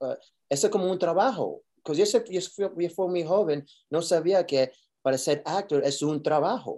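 Here a man speaks at a high pitch with a dark, mellow tone. His pace is fairly slow, with ordinary pitch variation. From New York. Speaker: actor. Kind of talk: interview. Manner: halting.

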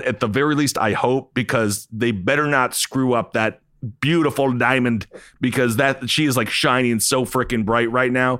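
In a normal speaking voice, a man talks at a moderate pace and medium pitch with fairly even intonation and very even loudness, in a very clean recording with a silent background. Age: 30s. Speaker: wrestling and sports podcast co-host. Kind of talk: casual chat.

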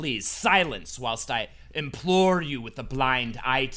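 A man speaks in a put-on character voice. His pace is fairly slow. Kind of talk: archaic, theatrical. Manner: menacing, spooky.

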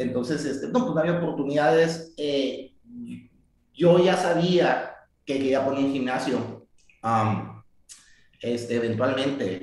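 With audible room echo, a man talks at a very slow pace in a fairly high, somewhat breathy voice, using ordinary pitch variation and long, frequent pauses. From Mexico, Tijuana. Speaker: martial arts coach. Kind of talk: interview.

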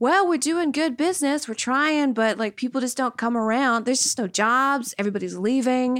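This woman has a high-pitched voice with an American accent. She talks at a fairly quick pace with ordinary pitch variation. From Louisiana, US South. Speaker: podcast co-host. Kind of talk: casual chat.

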